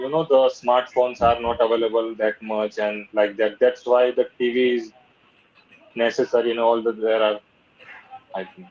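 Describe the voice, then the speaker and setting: A man with a Gujarati accent speaks at a moderate pace with a medium pitch and fairly even intonation. His pauses are long and frequent. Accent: Gujarati-accented Indian English. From Ahmedabad, Gujarat, India. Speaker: English learner. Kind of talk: conversation practice session. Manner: halting, hesitant non-fluent English.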